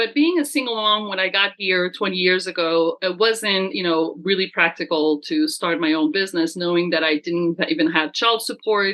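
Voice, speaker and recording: A woman talks at a moderate pace and medium pitch, with lively intonation, very even loudness and hardly any pauses. There is noticeable background noise. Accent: French. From France. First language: French. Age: 50s. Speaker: business coach. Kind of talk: casual chat.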